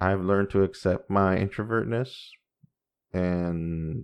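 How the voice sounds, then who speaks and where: Against a quiet background, a man with a Spanish accent speaks fairly slowly at a fairly low pitch. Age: 40s. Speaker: podcast host. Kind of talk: casual monologue.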